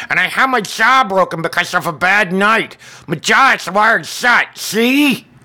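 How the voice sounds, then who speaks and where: Speaking at a moderate pace, a man uses a put-on character voice, pitched high and raised and projected. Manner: indignant, complaining.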